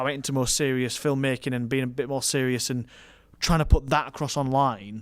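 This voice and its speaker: With a strong northern English accent, a man talks at a fairly quick pace and medium pitch in a flat monotone, in a very clean recording with a silent background. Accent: strong thick northern English. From northern England, Rotherham. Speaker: wedding and commercial filmmaker. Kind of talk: casual podcast conversation.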